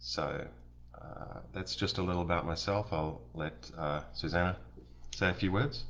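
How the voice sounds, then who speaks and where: Vocal fry marks a man's very deep, low pitch. He talks at a fairly slow pace. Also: lively intonation. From New Zealand. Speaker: local political candidate. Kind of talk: campaign livestream introduction. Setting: live stream.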